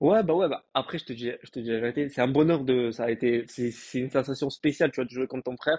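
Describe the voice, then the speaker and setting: Hardly any pauses break up this very fast delivery. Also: man, medium pitch for a man, ordinary pitch variation. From France, Marseille. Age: 30s. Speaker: professional footballer. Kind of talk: casual interview. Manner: hesitant, many fillers.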